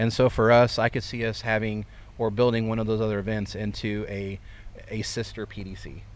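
A man with a Midwestern American accent and a fairly low pitch talks at a moderate pace in a monotone, flat intonation. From central Illinois (Fairbury). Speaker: racetrack owner. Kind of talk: casual interview. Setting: outdoors at racetrack grandstand.

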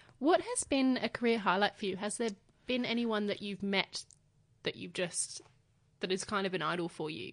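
Speaking at a moderate pace with a medium pitch and ordinary pitch variation, this woman has an Australian accent. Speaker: podcast host, beauty journalist. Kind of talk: interview.

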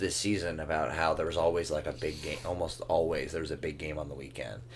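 A man speaks at a fairly quick pace. Vocal fry runs through his voice. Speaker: soccer podcast co-host. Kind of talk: casual banter, sports discussion. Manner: conversational, hedging with filler.

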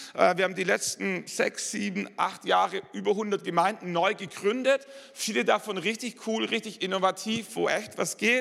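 A man with a Swabian accent talks in an animated tone with hardly any pauses, his voice high in pitch with ordinary pitch variation. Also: moderate pace. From Swabia, southern Germany. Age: 40s. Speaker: pastor. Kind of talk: sermon. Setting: church.

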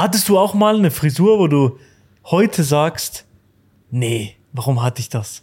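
This man's voice is somewhat breathy and fairly high, with very wide swings in pitch. He speaks at a fairly slow pace and leaves long, frequent pauses. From Switzerland. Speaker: podcast host. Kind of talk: casual chat. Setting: barber shop.

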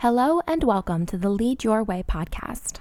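A woman with an unremarkable speaking voice talks at a moderate pace and a fairly high pitch, her intonation lively. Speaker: show announcer. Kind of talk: scripted narration.

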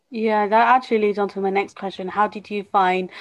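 The speaker has a British accent and a fairly even intonation. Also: woman. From UK. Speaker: podcast host, fitness company CEO. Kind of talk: interview.

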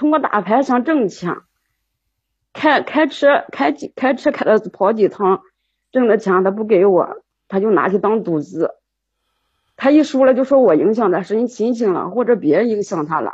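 A woman talks at a moderate pace with long, frequent pauses. Her fairly high, somewhat breathy voice moves in very wide pitch swings. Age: 40s. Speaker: caller seeking relationship advice. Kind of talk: call-in advice conversation. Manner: halting, repeats words.

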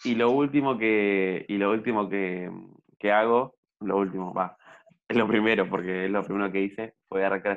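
A plain, everyday voice. The intonation stays fairly even. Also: man. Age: young. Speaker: podcast co-host. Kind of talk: casual chat. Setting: at home during quarantine. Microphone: audio problems.

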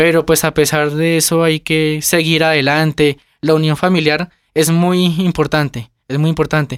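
A man's fairly high, monotone, flat voice at a moderate pace, very even in loudness, dry and close with no echo, on a very clean recording with a silent background. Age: 20s. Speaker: family business manager. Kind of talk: interview. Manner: halting.

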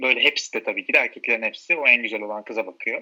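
This man speaks at a very fast pace. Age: 30s. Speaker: friend of host. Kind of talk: casual chat.

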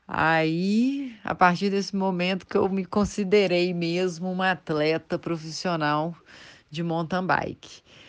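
Over a quiet background, a woman with a fairly low pitch speaks at a very slow pace with ordinary pitch variation. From Brazil, Belo Horizonte (Minas Gerais). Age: 30s. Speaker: mountain bike athlete and dentist. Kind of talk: interview.

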